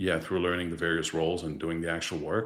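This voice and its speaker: Very fast delivery in a Quebec accent. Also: man. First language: French. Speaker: distribution director. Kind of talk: podcast interview.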